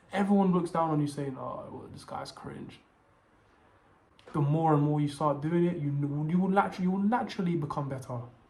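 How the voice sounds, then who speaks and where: There is audible room echo. A man speaks very fast at a fairly high pitch. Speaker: video essayist / content creator. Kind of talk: scripted monologue to camera. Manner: halting, stuttering.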